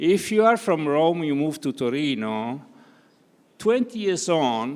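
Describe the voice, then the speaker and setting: Very wide pitch swings mark this voice, which moves at a very slow pace. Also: man, fairly high pitch for a man. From Italy, Turin (Piedmont). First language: Italian. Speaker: conference panelist, academic. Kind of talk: panel discussion. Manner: hesitant, many fillers.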